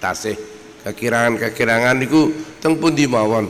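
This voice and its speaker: A man's medium-pitched voice at a moderate pace with fairly even intonation, amid noticeable background noise and audible room echo. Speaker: Islamic cleric. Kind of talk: religious lecture. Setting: outdoor gathering with audience. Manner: soft-spoken.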